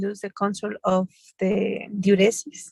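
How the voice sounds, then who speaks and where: Someone with a Spanish accent talks at a very slow pace, the sound dry and close with no echo. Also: woman. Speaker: medical student or doctor in English class. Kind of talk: language class practice. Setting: in a car. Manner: halting.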